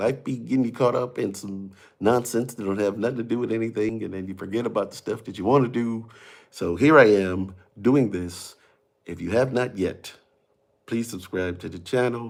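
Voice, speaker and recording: A quiet male voice at a moderate pace, with big swings in loudness. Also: ordinary pitch variation. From Mississippi. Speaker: comedian and TV personality. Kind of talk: casual livestream chat. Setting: home livestream at night. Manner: quiet, talking low.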